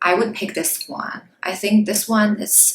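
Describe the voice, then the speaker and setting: Delivery is rather slow. The voice carries a non-native accent. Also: woman. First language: not English. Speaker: beauty YouTuber. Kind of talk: product review vlog. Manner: casual, hesitant with fillers.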